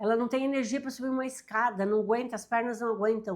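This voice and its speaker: Animated in tone, a woman speaks with a fairly high pitch in a very clean recording with a silent background. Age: 60s. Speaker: self-help youtuber. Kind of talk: motivational talk to camera.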